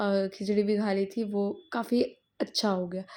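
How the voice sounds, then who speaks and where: This woman's intonation is monotone and flat, her pitch in the medium range. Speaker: vlogger. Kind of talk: casual vlog narration.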